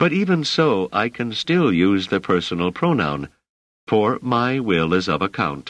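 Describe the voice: A quiet background behind plain reading aloud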